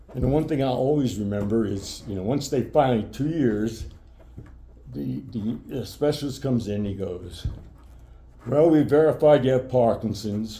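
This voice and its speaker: A man's medium-pitched, somewhat breathy voice with an American accent, a dark, mellow tone, lively intonation and a moderate pace, plus audible room echo. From New York (Brooklyn). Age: 70s. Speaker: retired sports broadcaster with Parkinson's. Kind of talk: interview. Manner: halting.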